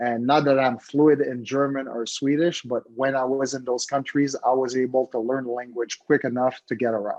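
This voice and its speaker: In a Quebec accent, a man of medium pitch talks at a moderate pace with hardly any pauses and a monotone, flat intonation. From Quebec, Montreal (French-speaking, Haitian parents). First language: French. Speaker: former hockey player and TV hockey analyst. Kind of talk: Q&A talk at a club meeting.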